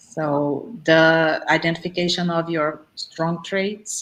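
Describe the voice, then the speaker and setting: This woman has a very deep, low pitch. She speaks with a non-native accent. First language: not English. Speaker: speaker on existential programming. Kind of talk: online group talk, Q&A.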